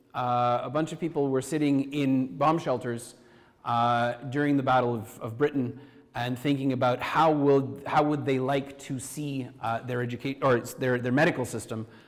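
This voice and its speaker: At a moderate pace, a man with a Canadian accent speaks at a medium pitch with fairly even intonation. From Canada. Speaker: university professor and deputy minister. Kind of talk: conference talk. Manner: halting, many fillers and restarts.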